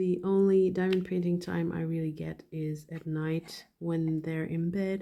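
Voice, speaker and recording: Fairly slow delivery in a non-native accent, dark and mellow in tone, with fairly even intonation. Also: woman. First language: not English. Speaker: hobby YouTuber, dental hygienist. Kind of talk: casual chat while painting. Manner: halting, thinking while speaking.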